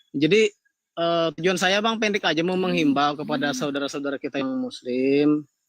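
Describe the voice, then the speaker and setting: A man's fairly high voice with lively intonation at a moderate pace, dry and close with no echo. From Kalimantan, Indonesia. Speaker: caller. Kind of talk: live call-in discussion.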